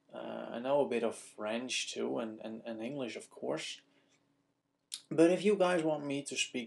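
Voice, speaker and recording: This man has a Dutch accent. He speaks at a moderate pace. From Netherlands. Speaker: video blogger. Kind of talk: casual vlog Q&A. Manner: casual, hesitant with fillers.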